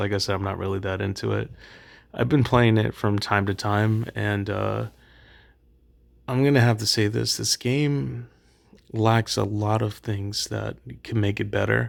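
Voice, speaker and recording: A soft-spoken man with fairly low pitch, ordinary pitch variation and a fairly slow pace, on a very clean recording with a silent background. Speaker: gaming youtuber. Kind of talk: casual commentary. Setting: late at night.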